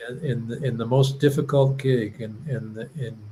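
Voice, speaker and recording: Somewhat breathy, a man with medium pitch talks at a fairly slow pace with fairly even intonation. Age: 70s. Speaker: musician and show host. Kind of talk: casual chat. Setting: live stream.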